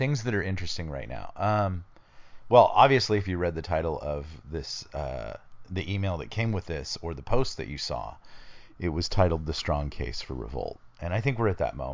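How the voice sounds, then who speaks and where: This man talks at a moderate pace in a very deep, low voice, his pitch swinging very widely with vocal fry throughout. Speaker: podcast host. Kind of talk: casual chat.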